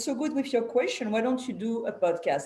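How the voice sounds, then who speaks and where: Audible room echo surrounds the voice. Intonation is lively, with a strong French accent. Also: woman. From France. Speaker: podcast host. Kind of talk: casual interview chat.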